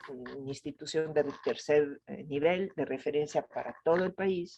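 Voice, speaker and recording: Speaking with an Italian accent, a woman with a very deep, low pitch keeps a fairly even intonation. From Italy, Venice. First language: Italian (speaking Spanish). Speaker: gynecologist and reproductive health expert. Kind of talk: interview.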